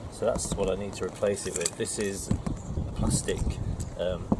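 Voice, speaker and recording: A man speaking fairly slowly, with a dry sound without echo and noticeable background noise. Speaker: boat owner vlogger. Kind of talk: tutorial. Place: boat.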